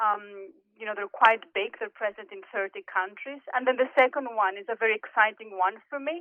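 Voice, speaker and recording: A woman speaks with a Greek accent at a fairly high pitch, with ordinary pitch variation. She hardly pauses. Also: moderate pace, big swings in loudness. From Greece, Athens. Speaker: corporate executive and board director. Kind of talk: podcast interview.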